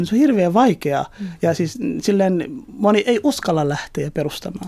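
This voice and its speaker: A man at a fairly slow pace, in a very clean recording with a silent background. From Somalia. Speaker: politician. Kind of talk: interview. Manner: hesitant, many fillers.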